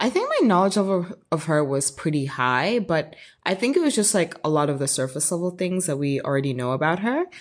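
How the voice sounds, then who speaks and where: This woman has a fairly low pitch and an American accent, talking at a fairly quick pace. Her tone is animated, with lively intonation. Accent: switches between British and American accents. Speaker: podcast host. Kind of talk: casual chat. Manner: animated, excitable.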